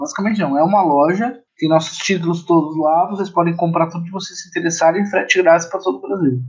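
Talking very fast, a man with a high pitch keeps his intonation fairly even. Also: hardly any pauses. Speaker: publisher. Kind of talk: interview.

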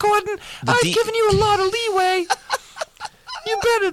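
This is a put-on character voice that sounds squeaky. It moves at a moderate pace. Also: man, extremely high pitch for a man. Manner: stern, warning.

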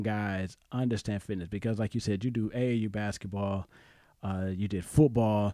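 A dark, mellow tone at a moderate pace, with ordinary pitch variation and a dry, close sound with no echo on a very clean recording over a silent background. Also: man. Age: 40s. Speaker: podcast host. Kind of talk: casual chat.

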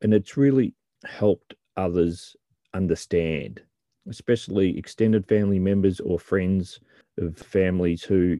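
A man with an Australian accent, very deep and low in pitch, dark and mellow in tone, with ordinary pitch variation, a dry, close sound with no echo and a quiet background. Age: 50s. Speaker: podcast host and author. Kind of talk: scripted narration.

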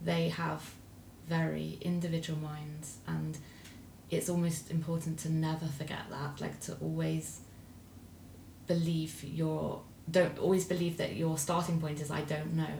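A woman speaks at a fairly slow pace, with long, frequent pauses. There is audible echo from the room. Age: 40s. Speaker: parent of host. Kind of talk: casual chat.

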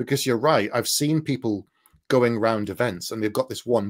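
This man speaks with a northeast English accent. His pitch is medium. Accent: north east English. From north east England. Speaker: fantasy author. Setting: video call.

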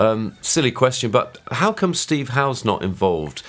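A man at medium pitch with very wide pitch swings, vocal fry and a moderate pace. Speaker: podcast host. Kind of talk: casual chat.

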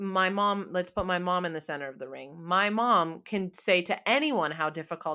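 Here a woman speaks at a fairly low pitch. Her tone is bright and sharp. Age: 20s. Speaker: podcast co-host. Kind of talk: casual chat. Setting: remote call.

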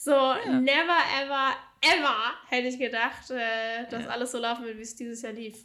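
A woman's high, bright, sharp voice at a moderate pace, with big swings in loudness. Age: 20s. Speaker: business coach. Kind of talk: casual interview. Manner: animated.

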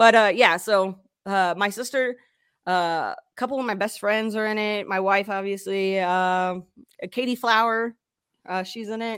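On a very clean recording with a silent background, a woman speaks in a plain, everyday voice of medium pitch with fairly even intonation. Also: fairly slow pace. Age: 30s. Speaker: podcast host being interviewed. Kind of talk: casual interview chat.

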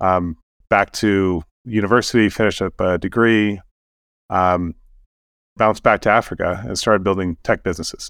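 Long, frequent pauses run through this man's speech. He has an American accent and a very deep, low pitch. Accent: American-sounding. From Sudan and Kenya, American missionary family. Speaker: tech entrepreneur, bitcoin mining company CEO. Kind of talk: casual interview conversation. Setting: remote call from Kenya. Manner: frequent hesitations, many ums.

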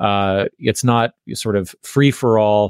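A man is speaking. The recording is very clean with a silent background and a dry, close sound with no echo. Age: 50s. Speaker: podcaster and cult researcher. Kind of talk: interview. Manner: halting, repeats words.

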